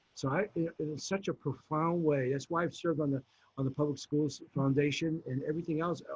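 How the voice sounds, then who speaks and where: A man talks at a fairly quick pace in a somewhat breathy, fairly high-pitched voice with ordinary pitch variation. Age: 70s. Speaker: mayoral candidate. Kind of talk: political forum answers. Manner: halting, self-correcting.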